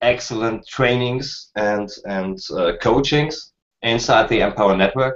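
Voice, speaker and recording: Someone speaks at a very slow pace with a German accent. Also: man. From Germany. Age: 30s. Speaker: online marketer. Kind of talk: casual chat. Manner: halting.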